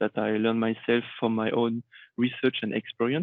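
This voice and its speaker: A man's monotone, flat intonation holds through his moderate pace. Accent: French. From Réunion Island. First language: French. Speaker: IT consultant. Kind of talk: conference talk.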